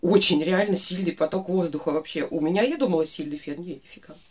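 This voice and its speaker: A somewhat breathy woman is speaking at a moderate pace. Her intonation is lively. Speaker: beauty vlogger. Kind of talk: casual vlog chat, product review.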